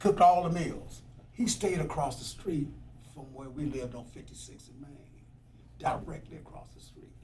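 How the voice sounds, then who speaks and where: A man talks at a moderate pace in a dark, mellow tone with vocal fry and ordinary pitch variation. Room echo is audible. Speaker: former firefighter and activist. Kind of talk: oral history interview. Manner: casual storytelling.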